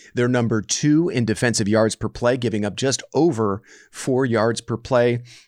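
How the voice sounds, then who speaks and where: Recorded with a dry, close sound and no echo, this is a normal speaking voice with ordinary pitch variation. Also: man. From US West Coast. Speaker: podcast host. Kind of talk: casual sports podcast chat. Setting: remote recording.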